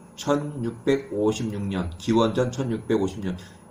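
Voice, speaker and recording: A man speaks with lively intonation, and audible room echo surrounds his voice. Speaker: bible teacher. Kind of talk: lecture. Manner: halting, self-correcting.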